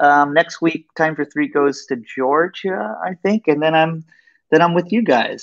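A man with an American accent talks at a fairly high pitch and a fairly slow pace with lively intonation, in a dry sound with no echo and a quiet background. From Austin, Texas. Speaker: violinist; guest. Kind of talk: casual interview. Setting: video call. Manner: animated. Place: home room. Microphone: earbuds.

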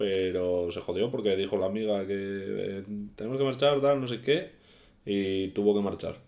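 A man's fairly low voice at a moderate pace, with ordinary pitch variation. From Asturias, Spain. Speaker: YouTuber; youtuber. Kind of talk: casual vlog storytelling. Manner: halting. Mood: relaxed, anecdotal storytelling. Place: home room. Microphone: webcam.

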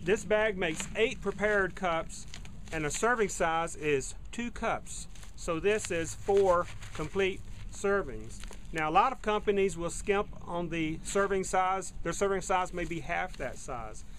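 A man's high voice at a fairly slow pace with ordinary pitch variation and light background noise. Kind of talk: product review. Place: garden. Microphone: phone near.

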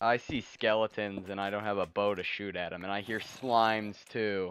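At a moderate pace, a man delivers his words in a deadpan tone with monotone, flat intonation and a fairly low pitch. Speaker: gaming streamer. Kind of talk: casual gameplay chat.

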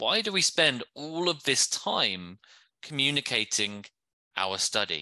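A man with a fairly high pitch and vocal fry speaks at a fairly slow pace in an enthusiastic, bright, sharp tone. His pitch swings very widely while his loudness stays very even, against a quiet background. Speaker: academic writing trainer. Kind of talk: training workshop. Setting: video call.

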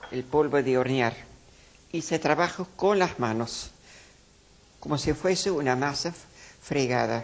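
In a very deep, low voice, a woman speaks at a fairly slow pace. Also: ordinary pitch variation. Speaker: nun cooking show host. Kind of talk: tutorial. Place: kitchen.

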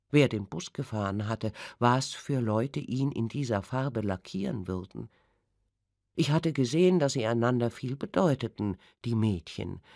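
This woman has a very deep, low pitch and a dark, mellow tone, with lively intonation at a moderate pace. The sound is dry and close, with no echo. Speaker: audiobook narrator. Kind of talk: audiobook reading. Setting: studio. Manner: sensual, intense.

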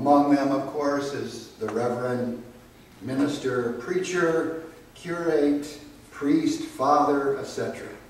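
Amid strong room echo and light background noise, a man speaks very slowly with fairly even intonation. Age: 70s. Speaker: pastor. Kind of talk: liturgy and prayer. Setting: chapel memorial service. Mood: solemn, calm. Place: church. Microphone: camera far.

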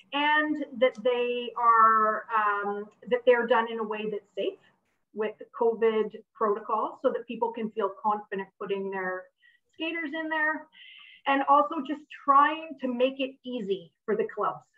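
The pitch of this woman's voice varies in an ordinary way. She talks at a fairly slow pace. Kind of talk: event presentation talk. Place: home room. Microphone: video call.

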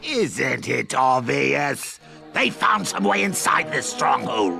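Clear music plays in the background. A man speaks over it at a very slow pace. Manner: smug, gloating.

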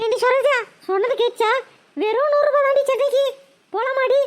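A woman does a squeaky, cartoonish character voice at an extremely high pitch. She talks fairly slowly, and her loudness stays very even. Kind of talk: Tamil village colloquial. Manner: loud, scolding.

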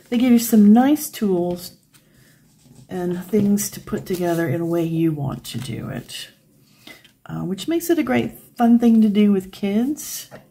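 A woman with an American accent speaks at a fairly slow pace, with long, frequent pauses. Her pitch swings very widely and her loudness shifts a lot. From United States. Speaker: craft video creator. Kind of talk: tutorial. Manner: casual, chatty.

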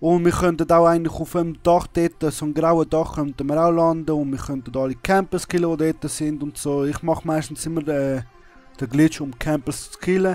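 Music plays behind a man with a Swiss accent whose fairly high voice stays monotone and flat. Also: moderate pace. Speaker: video gamer. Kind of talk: gameplay tutorial commentary. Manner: casual.

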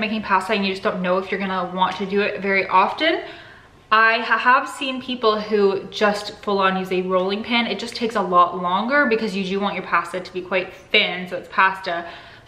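The room echo is audible. A woman speaks at a fairly quick pace. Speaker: cooking vlogger. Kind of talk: casual vlog chat. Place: kitchen. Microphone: phone near.

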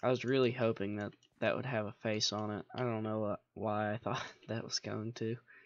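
A man speaks at a moderate pace in a monotone, with flat intonation. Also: medium pitch for a man. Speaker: gaming video creator. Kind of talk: gameplay commentary. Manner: casual, thinking aloud.

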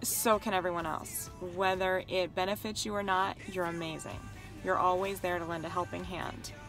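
A woman's monotone, flat delivery at a moderate pace, dry with no echo, over clear music in the background. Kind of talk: heartfelt personal message. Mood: warm, grateful, slightly self-conscious. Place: car. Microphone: phone near.

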